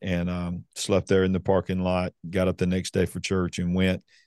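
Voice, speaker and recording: In a dry, close recording with no echo and a quiet background, a man speaks at a moderate pace with a very deep, low pitch and a dark, mellow tone. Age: 50s. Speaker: pastor. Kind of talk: interview testimony.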